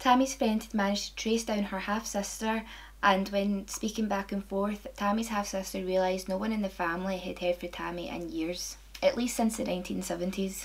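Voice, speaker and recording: A woman speaks with a Scottish accent. Her pace is fairly quick. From Scotland. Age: 20s. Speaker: true crime video maker. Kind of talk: true crime narration to camera. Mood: calm, serious.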